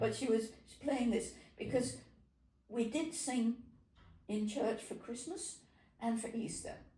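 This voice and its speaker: A woman with a fairly high pitch speaks at a fairly slow pace, her tone dark and mellow with vocal fry. Her pitch varies an ordinary amount, and she takes long, frequent pauses. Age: 80s+. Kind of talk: interview answer, reminiscing.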